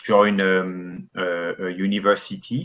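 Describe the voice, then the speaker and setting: With a strong French accent, a man speaks using lively intonation. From France. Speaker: business founder, IT architect. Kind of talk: interview.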